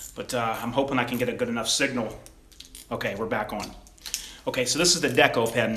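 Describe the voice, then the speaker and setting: A man at a very fast pace with long, frequent pauses and fairly even intonation, audible room echo and noticeable background noise. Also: medium pitch for a man. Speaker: gun YouTuber. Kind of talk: livestream product demo. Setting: home livestream at gun table. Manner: halting, casual.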